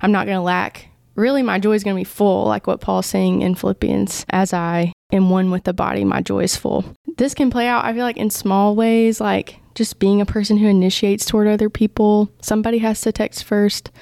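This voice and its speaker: A woman speaks in a Southern US accent. Her tone is dark and mellow, and her pace fairly quick. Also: medium pitch for a woman. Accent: Southern American. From US South, Georgia (Vidalia). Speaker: campus ministry worker. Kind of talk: casual chat.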